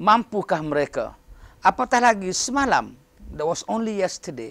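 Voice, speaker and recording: Pitch variation from this man is ordinary. He speaks at a fairly slow pace. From Malaysia. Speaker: professor. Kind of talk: interview. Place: office. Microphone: lapel.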